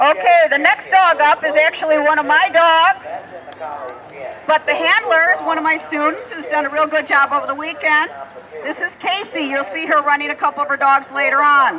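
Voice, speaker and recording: A woman's raised, projected voice at a high pitch, moderate pace and long, frequent pauses, over noticeable background noise. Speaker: dog agility trainer and demo commentator. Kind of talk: live commentary.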